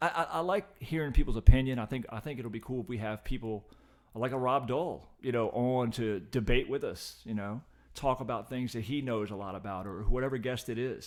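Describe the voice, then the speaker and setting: This is a plain, everyday voice: a man with an American accent, medium pitch and ordinary pitch variation. He goes at a fairly quick pace with big swings in loudness. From Richmond, Virginia area. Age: 50s. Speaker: podcast guest and occasional co-host. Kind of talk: casual chat.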